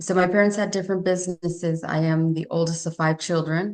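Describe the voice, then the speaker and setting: A woman with a Spanish accent speaks in a fairly low voice at a moderate pace, her intonation monotone and flat. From Chino, San Bernardino County, California (Spanish-speaking immigrant family). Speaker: nonprofit co-founder, entrepreneur. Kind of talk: interview.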